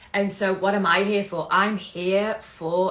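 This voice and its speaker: A woman's medium-pitched voice, fairly slow and fairly even in intonation, over noticeable background noise. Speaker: business coach. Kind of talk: live stream talk. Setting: livestream.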